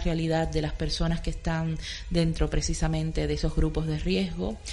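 With a Cuban accent, a woman speaks at a moderate pace. Room echo is audible. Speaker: art curator. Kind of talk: radio interview.

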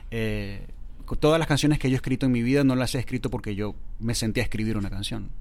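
With audible room echo, a man talks at a very fast pace with ordinary pitch variation. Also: medium pitch for a man. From Venezuela (Valencia), born in Córdoba, Argentina. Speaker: singer-songwriter and writer. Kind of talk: casual interview chat.

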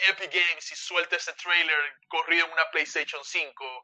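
In a high, bright, sharp voice, a man speaks at a fairly slow pace with flat, monotone intonation. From Cuba. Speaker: gaming podcast co-host. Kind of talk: casual chat.

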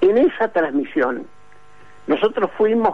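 A man with a Rioplatense accent speaks at a high pitch, his voice swinging very widely in pitch. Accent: Argentine Spanish (rioplatense). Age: 70s. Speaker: retired sports journalist. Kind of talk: interview.

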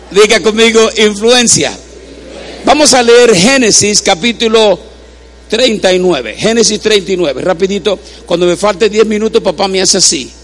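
A man speaks in a high voice at a fairly slow pace, his loudness very even. His tone is animated with ordinary pitch variation, and noticeable background noise is present. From Puerto Rico. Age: 60s. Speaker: preacher. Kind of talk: sermon.

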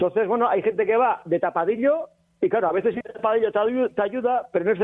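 A man at a high pitch and very fast pace with ordinary pitch variation. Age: 50s. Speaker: reality show contestant. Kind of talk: casual chat.

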